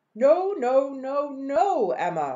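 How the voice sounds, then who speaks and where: A woman's high-pitched, put-on character voice with very wide pitch swings. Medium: read story. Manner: scolding, exasperated.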